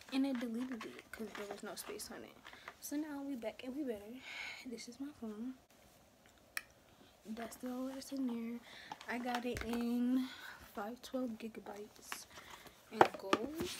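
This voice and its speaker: A woman with a high voice talks at a moderate pace, pausing long and often over noticeable background noise. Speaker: vlogger. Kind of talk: casual vlog chat. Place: home room. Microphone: phone near.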